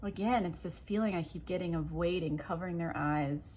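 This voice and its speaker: Mumbling, a woman speaks in a very deep, low pitch with ordinary pitch variation. Vocal fry runs through her voice. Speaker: tarot reader. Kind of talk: tarot reading video. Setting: at home.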